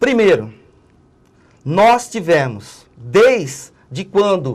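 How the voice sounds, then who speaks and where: A man's high-pitched voice with lively intonation. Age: 60s. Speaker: political analyst and trade unionist. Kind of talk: TV interview.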